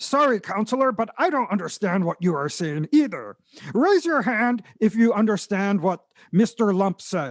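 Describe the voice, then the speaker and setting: A put-on character voice is pitched fairly high and delivered at a moderate pace. The background is quiet. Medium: comedy sketch. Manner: exasperated.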